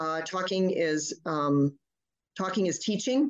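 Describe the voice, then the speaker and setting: A woman talks at a moderate pace in a medium pitch. Her pitch variation is ordinary. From Flint, Michigan, US. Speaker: pediatrician. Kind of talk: interview. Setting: radio studio.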